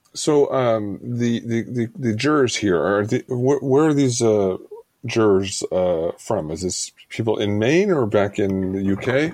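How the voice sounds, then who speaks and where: Speaking at a fairly slow pace, a man with a plain, everyday voice uses lively intonation at a medium pitch. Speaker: podcast co-host. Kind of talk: casual podcast chat.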